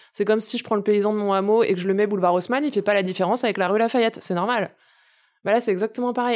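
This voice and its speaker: In a very clean recording with a silent background, a woman has a plain, everyday voice at a fairly high pitch with ordinary pitch variation. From Paris suburbs, Essonne. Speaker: farmer and environmental activist. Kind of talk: casual interview conversation.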